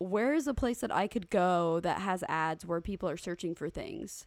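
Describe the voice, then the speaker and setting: In a normal speaking voice with ordinary pitch variation and hardly any pauses, the speaker is heard on a very clean recording with a silent background. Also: woman. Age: 20s. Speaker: podcast co-host. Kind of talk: reading listener email aloud; casual chat.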